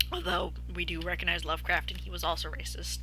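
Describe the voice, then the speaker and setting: A woman's very deep, low voice at a moderate pace, with noticeable background noise. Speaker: vtuber streamer. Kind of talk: casual livestream chat. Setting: live stream. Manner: hesitant, many fillers.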